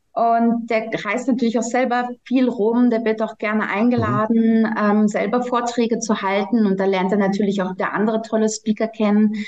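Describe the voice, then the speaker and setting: Over noticeable background noise, a woman talks at a moderate pace with hardly any pauses. Her intonation is monotone and flat, and her loudness stays very even. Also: fairly high pitch for a woman. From Germany. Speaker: congress organizer. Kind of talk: podcast interview.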